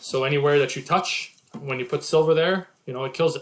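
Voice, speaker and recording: A man in a French accent speaks at a moderate pace, his fairly high pitch held in fairly even intonation. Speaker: investment commentator. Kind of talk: presentation reading slides with commentary. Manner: halting with many fillers.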